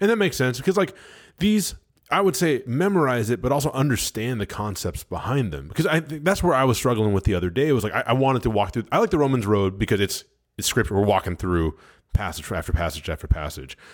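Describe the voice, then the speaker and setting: A man talks at a very fast pace with a medium pitch, very wide pitch swings and vocal fry. The recording is very clean, with a silent background. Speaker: church ministry podcast host. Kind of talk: casual chat on faith. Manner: halting, many fillers and restarts.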